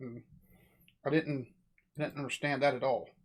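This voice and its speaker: In a very clean recording with a silent background, a man talks fairly quickly at a fairly high pitch with fairly even intonation. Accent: American. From United States. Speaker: reaction youtuber. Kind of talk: reaction commentary.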